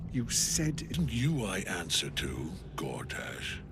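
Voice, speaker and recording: Over loud background noise, a man puts on a character voice, very deep and low, at a fairly slow pace. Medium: game stream. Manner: cold, terse, rigid.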